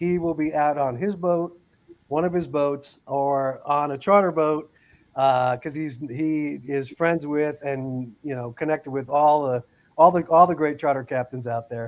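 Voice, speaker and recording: Talking at a fairly slow pace, a man uses a normal speaking voice with a fairly high pitch and fairly even intonation. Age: 60s. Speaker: fishing podcast host, nonprofit founder. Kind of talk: casual chat. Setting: livestream.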